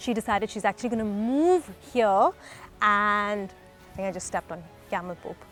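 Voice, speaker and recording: Music plays in the background as a woman speaks at a very fast pace. Her pitch is medium, with ordinary variation. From South India. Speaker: travel and food vlogger. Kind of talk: casual interview and narration.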